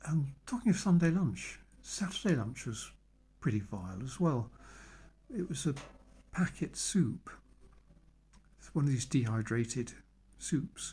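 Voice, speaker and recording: With a British accent, a man speaks at a moderate pace with lively intonation and long, frequent pauses. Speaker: vlogger. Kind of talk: personal monologue. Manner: halting.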